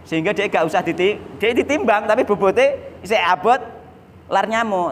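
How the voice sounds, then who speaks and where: A man talks in a high pitch. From Java, Indonesia. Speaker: Islamic preacher. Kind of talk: religious study lecture. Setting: mosque. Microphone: studio mic.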